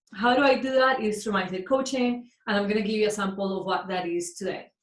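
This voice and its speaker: A woman's fairly high, somewhat breathy voice with a Colombian accent and lively intonation. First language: Spanish. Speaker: mindset coach. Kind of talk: workshop talk.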